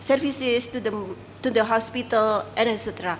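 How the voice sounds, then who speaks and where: Her fairly high voice stays monotone, this woman's intonation flat throughout. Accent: Indonesian. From Indonesia. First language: Indonesian. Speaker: civil society worker. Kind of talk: press briefing. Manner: halting.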